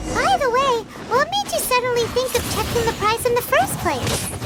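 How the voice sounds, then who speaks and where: Someone does a put-on character voice, squeaky and extremely high, at a moderate pace with faint music in the background. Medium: machinima. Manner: inquisitive.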